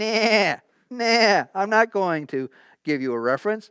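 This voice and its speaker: A put-on character voice sits at a fairly high pitch and moves at a fairly slow pace. The recording is very clean, with a silent background. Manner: bleating, dismissive.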